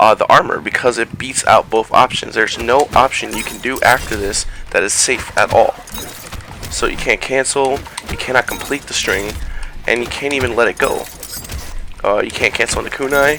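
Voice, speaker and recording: A man speaks with long, frequent pauses. Noticeable background noise runs underneath. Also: moderate pace. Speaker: fighting game player. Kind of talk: gameplay tutorial commentary.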